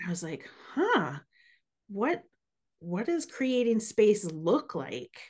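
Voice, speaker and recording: A woman speaks at a very slow pace, somewhat breathy, with a fairly high pitch. Her pitch swings very widely, and her pauses are long and frequent. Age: 40s. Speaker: podcast host, mindset coach. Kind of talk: interview. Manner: animated.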